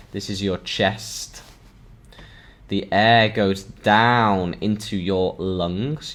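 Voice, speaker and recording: A man talks in a Yorkshire accent with a fairly low pitch. He goes at a very slow pace, with ordinary pitch variation. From northern England, Sheffield. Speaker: English teacher. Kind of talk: online language lesson. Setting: live stream. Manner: slow, repetitive for learners.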